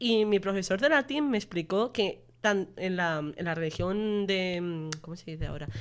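A woman with an unremarkable speaking voice talks at a medium pitch and a fairly slow pace, with hardly any pauses. Her intonation is lively and her loudness swings widely. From Menorca, Spain. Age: 20s. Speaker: university student podcast host. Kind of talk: casual chat.

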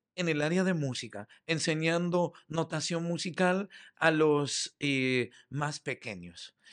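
A man with a fairly high pitch and ordinary pitch variation talks at a very slow pace, in a dry, close sound with no echo against a quiet background. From Uruguay, Montevideo. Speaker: theatre director and playwright. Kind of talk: interview.

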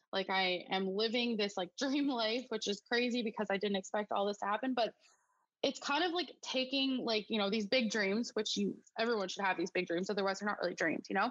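An unremarkable speaking voice from a woman, fairly high in pitch, at a fairly quick pace with very even loudness and ordinary pitch variation. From Alberta, Canada. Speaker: small business owner. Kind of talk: interview.

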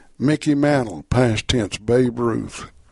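A man with an American accent, medium pitch and ordinary pitch variation, at a very slow pace. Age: 70s. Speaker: radio host and preacher. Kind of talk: radio Bible study program. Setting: live radio studio.

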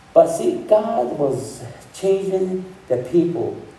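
Very slow male speech amid noticeable background noise. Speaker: pastor. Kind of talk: sermon. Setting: church. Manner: halting.

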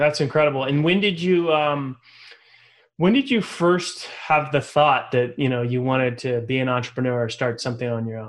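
A man with an ordinary speaking voice keeps a moderate pace, his medium pitch showing ordinary pitch variation. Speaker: podcast host. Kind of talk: scripted-free interview chat.

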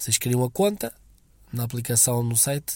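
The voice moves at a moderate pace with fairly even intonation and a dark, mellow tone. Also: man. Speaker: listener sending a voice message. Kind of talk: recorded voice message. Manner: halting.

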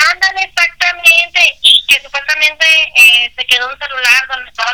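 A woman keeps a moderate pace and ordinary pitch variation while noticeable background noise runs underneath. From northern Mexico, La Laguna region. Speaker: amateur radio announcer. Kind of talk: casual chat. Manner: energetic.

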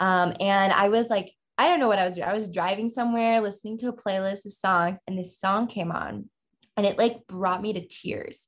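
A woman speaks with a plain, everyday voice at a medium pitch. Her pace is moderate and her intonation fairly even. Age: 20s. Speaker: artist. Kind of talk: interview conversation. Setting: podcast studio.

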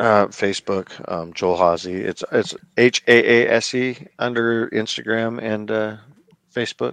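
At a fairly slow pace, a man with an American accent speaks at a medium pitch with fairly even intonation, in a dry, close sound with no echo. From small-town US. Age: 40s. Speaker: custom toy artist. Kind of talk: casual interview chat. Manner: halting.

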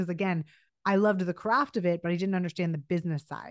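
Against a quiet background, a woman rattles along at a very fast pace in a monotone, flat intonation. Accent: American. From US West Coast, Los Angeles. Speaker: creative director and brand consultant. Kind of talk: interview.

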